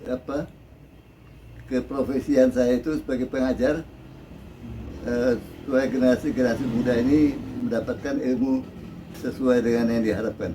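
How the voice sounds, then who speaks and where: A man of medium pitch talks with monotone, flat intonation and long, frequent pauses. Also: moderate pace. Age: 70s. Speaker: veteran photographer and teacher. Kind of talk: interview.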